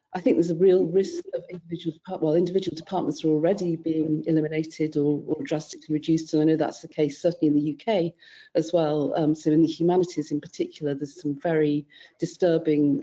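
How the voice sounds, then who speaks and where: Speaking at a very fast pace, a woman with a British accent keeps her intonation fairly even. Her voice is very deep and low, with a dark, mellow tone. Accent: British accent, noticeable in the US. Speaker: panellist, scholarly publishing consultant. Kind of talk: webinar panel discussion.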